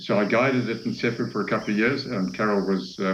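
Fairly quick speech from a man with fairly low pitch and audible room echo. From Zambia. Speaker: safari guide and camp owner. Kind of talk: interview. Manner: halting.

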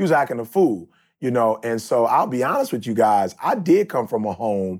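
This man's voice sits at a medium pitch. The intonation he uses is lively. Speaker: podcast co-host. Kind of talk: casual chat. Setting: remote from Las Vegas.

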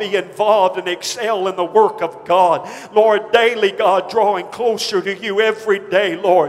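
A man's high-pitched, monotone, flat voice at a moderate pace, with noticeable background noise. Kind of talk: congregational prayer led aloud. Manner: fervent, pleading, repeatedly addressing God.

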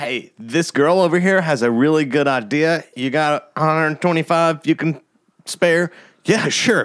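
A man with a normal speaking voice talks at a fairly slow pace, his pitch fairly high and its variation ordinary, on a very clean recording with a silent background. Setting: spare bedroom home recording.

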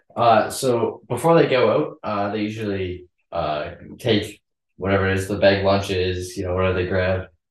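In a Western Canadian accent, a man with a fairly low pitch and a somewhat breathy voice speaks at a moderate pace with ordinary pitch variation against a quiet background. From Canada (Calgary). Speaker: young lay missionary. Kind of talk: casual group interview. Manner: halting with fillers.

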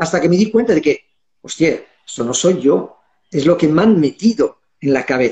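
A man's high-pitched voice with lively intonation, a moderate pace, and long, frequent pauses. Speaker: holistic therapist, guest. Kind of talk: casual panel discussion.

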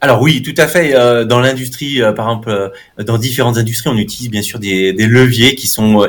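Noticeable background noise can be heard. The speaker's intonation is fairly even. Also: man. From France, Haute-Savoie. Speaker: neuromarketing professor. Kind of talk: interview.

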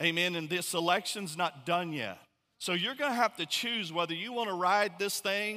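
A man's raised, projected voice, high-pitched with a bright, sharp tone, at a moderate pace on a very clean recording with a silent background. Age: 40s. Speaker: pastor. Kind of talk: sermon.

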